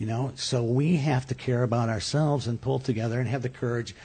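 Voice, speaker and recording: The voice is dark, mellow and somewhat breathy. It moves at a very fast pace with ordinary pitch variation. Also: man. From upstate New York. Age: 50s. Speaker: comedian. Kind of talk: casual chat. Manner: halting.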